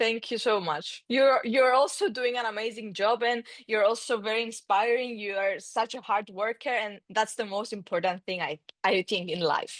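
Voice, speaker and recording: In a Greek accent, a woman talks at a moderate pace with a fairly high pitch and ordinary pitch variation. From Cyprus. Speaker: mountain biker and sports influencer. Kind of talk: casual interview.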